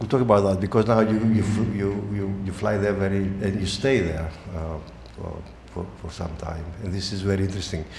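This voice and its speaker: Fairly low in pitch, a man with a Greek accent talks at a fairly quick pace with fairly even intonation. Room echo is audible, and there is noticeable background noise. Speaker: interviewer. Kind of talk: interview. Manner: halting, many fillers.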